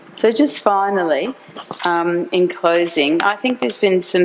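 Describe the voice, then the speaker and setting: A woman with a fairly low voice and ordinary pitch variation speaks over noticeable background noise. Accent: Australian. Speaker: university executive. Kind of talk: conference talk.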